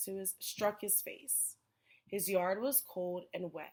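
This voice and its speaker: This woman has an unremarkable speaking voice, medium in pitch, and she speaks at a fairly slow pace. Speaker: elementary school teacher. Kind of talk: children's book read-aloud.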